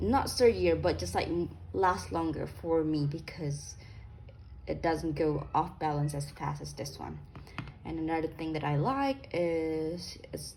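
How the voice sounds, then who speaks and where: Speaking at a fairly slow pace, a woman is heard with audible echo from the room. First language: not English. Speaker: sewing youtuber. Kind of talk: product review. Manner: casual, many fillers.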